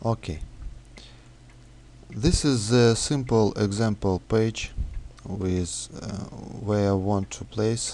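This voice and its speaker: Speaking at a very slow pace, a man has a dark, mellow tone and a fairly low pitch. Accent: non-native. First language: not English. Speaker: software developer. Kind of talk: tutorial. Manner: halting, many fillers.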